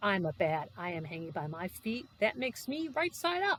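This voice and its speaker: At a moderate pace, someone uses a put-on character voice at a middle pitch. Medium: read story. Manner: loud, blunt.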